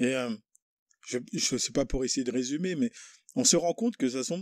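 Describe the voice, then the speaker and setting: The recording is very clean with a silent background and a dry, close sound free of echo. A man speaks in a fairly high voice with lively intonation. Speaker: podcast host. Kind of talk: casual chat. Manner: hesitant.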